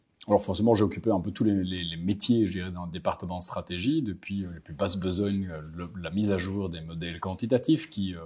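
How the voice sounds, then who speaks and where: This man has a very deep, low pitch and a dark, mellow tone, with a slight Belgian accent. He talks at a moderate pace with ordinary pitch variation. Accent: subtle Belgian. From Belgium, Brussels. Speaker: market strategist. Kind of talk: interview. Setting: bank office in Paris.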